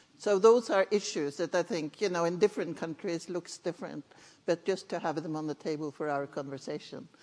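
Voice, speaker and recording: A woman speaks with a Norwegian accent. Her pitch variation is ordinary. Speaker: conference session chair. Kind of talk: panel moderation.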